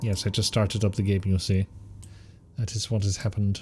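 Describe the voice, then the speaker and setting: The tone is dark and mellow, somewhat breathy. Intonation stays flat and monotone throughout. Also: man. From Scotland. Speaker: game streamer. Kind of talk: casual live-stream chat.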